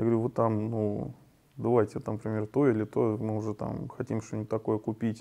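Delivered at a fairly quick pace, a man's dark, mellow voice holds fairly even intonation. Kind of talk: interview answer. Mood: relaxed, laughing at times. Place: hall.

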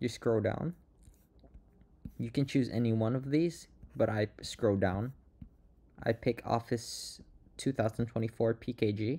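On a very clean recording with a silent background, a somewhat breathy man with a medium pitch and a dark, mellow tone uses ordinary pitch variation and takes long, frequent pauses. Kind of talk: software tutorial voice-over.

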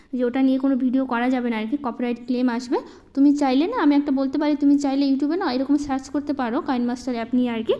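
With noticeable background noise behind her, a woman speaks at a high pitch with fairly even intonation. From Malda district, West Bengal, India. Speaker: housewife vlogger. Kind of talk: casual vlog narration. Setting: at home.

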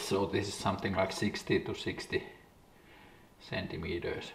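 Very slow speech with audible room echo. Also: man. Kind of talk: casual vlog chat. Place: workshop.

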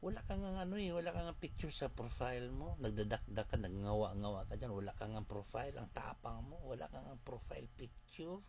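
Against light background noise, a man talks in an animated tone at a fairly quick pace with hardly any pauses. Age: 60s. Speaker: vlogger. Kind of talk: personal vlog rant. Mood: scolding, mocking. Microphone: phone near.

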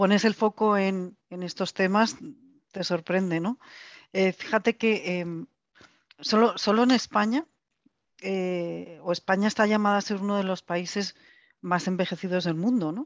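Against a quiet background, a woman with a medium pitch speaks fairly slowly with fairly even intonation and long, frequent pauses, the sound dry with no echo. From Spain. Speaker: foundation executive, panelist; panelist. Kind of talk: online panel discussion. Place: office. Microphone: headset.

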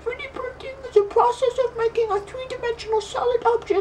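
A man uses a put-on character voice with an extremely high pitch, speaking at a fairly quick pace. Background noise is clearly audible. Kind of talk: explainer narration. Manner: goofy, funny.

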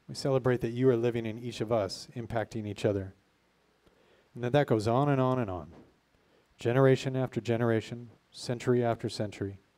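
A man speaks at a fairly quick pace in a medium pitch, his dark, mellow tone carrying fairly even intonation. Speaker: pastor. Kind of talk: prayer and eulogy. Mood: grateful, heartfelt. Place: garden. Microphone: handheld.

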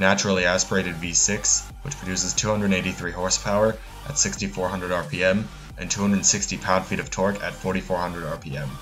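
A man with a very deep, low pitch talks at a fairly slow pace with fairly even intonation. Music plays in the background. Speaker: car reviewer. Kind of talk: car review narration. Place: street.

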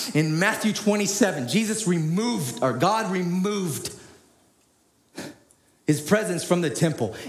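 A man's high-pitched, passionate voice with lively intonation, at a fairly slow pace with long, frequent pauses and audible room echo. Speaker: preacher. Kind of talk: sermon. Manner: passionate, forceful. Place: church. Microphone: headset.

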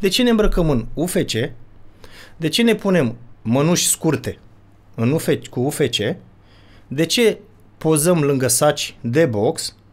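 A man speaks at a very slow pace, with long, frequent pauses. His pitch is fairly high and swings very widely, while his loudness stays very even. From Romania. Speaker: father of a child vlogger, would-be fighter; podcast guest. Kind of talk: casual chat. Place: studio. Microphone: studio mic.

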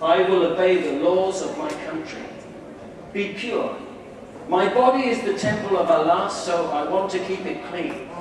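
Amid noticeable background noise and strong room echo, a man with a high-pitched voice speaks at a fairly slow pace. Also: lively intonation. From England. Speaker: new convert addressing a congregation. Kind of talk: speech to an audience. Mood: earnest, calm. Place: hall.

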